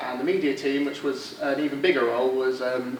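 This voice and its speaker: Amid noticeable background noise and audible room echo, a man with a southeast English accent talks fairly quickly at a medium pitch. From southeast England. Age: 20s. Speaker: student society candidate. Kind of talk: election speech presentation. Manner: halting, many fillers.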